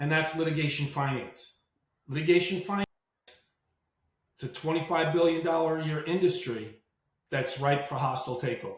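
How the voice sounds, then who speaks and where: Using a New York accent, a man with a fairly high pitch talks at a fairly quick pace with fairly even intonation and long, frequent pauses. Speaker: marine veteran and litigation finance entrepreneur. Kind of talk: podcast interview.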